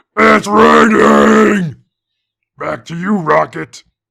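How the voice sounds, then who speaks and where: A man growls in a put-on character voice. He speaks at a very slow pace. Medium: machinima. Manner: blunt, shouting short phrases.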